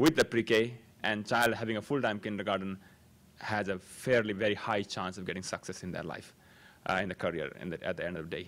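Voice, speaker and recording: A man with a Nepali accent, fairly low-pitched, at a fairly quick pace with ordinary pitch variation, on a very clean recording with a silent background. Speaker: parent speaking at public comment. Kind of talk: public comment at board meeting. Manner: halting.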